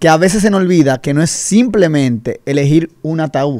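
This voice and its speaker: A man talks with lively intonation at a moderate pace over a quiet background. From Dominican Republic. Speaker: insurance advisor; guest. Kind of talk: radio interview. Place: studio. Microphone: studio mic.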